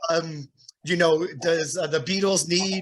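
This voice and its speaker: Fairly slow and fairly even in intonation, a man talks in an East Coast accent. His pitch is high. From New Jersey. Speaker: podcast host and drummer. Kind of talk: casual interview chat.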